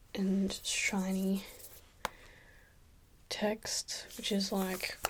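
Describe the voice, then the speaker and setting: A soft-spoken woman talks. Noticeable background noise sits behind her. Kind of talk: ASMR soft-spoken talk to camera.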